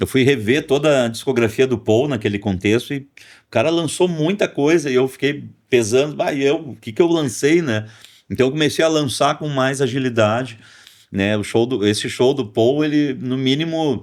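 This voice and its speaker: A man speaks at a moderate pace with a Porto Alegre accent. The recording is very clean, with a silent background. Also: medium pitch for a man, ordinary pitch variation. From Porto Alegre, southern Brazil. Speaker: rock musician and songwriter. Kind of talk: podcast interview. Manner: halting, many fillers.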